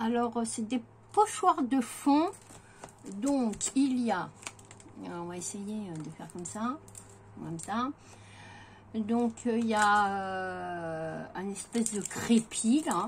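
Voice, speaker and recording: A woman at a fairly high pitch with lively intonation, a very slow pace, long, frequent pauses, big swings in loudness, and a somewhat breathy sound. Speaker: craft vlogger. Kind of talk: haul video. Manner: hesitant, many fillers.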